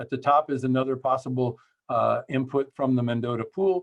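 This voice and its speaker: A man speaks with fairly even intonation, the sound dry and close with no echo. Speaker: water agency general manager. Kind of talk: presentation. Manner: fast.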